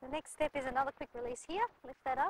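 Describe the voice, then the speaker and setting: A woman's high-pitched voice at a very fast pace, dry and close with no echo. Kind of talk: interview answer.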